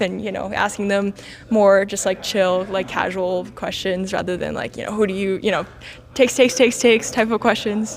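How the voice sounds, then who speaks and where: With an American accent, a woman of medium pitch talks at a fairly quick pace in fairly even intonation. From Los Angeles, US. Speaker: interviewer. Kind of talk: casual interview. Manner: halting, many fillers.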